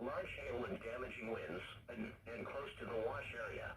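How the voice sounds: There is audible room echo as a man talks at a fairly quick pace. His pitch varies in an ordinary way.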